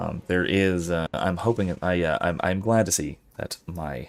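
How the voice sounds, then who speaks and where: A man talks quietly with vocal fry at a very deep, low pitch. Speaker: professor streaming a game with philosophy talk. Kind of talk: casual live stream chat. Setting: live stream. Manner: quiet, low-pitched.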